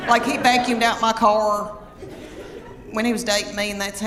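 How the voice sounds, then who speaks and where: Crowd noise fills the background as a woman with a Southern US accent talks at a fairly quick pace, her medium pitch held in fairly even intonation. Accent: Southern American. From Southern United States. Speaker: stand-up comedian. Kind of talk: stand-up comedy set.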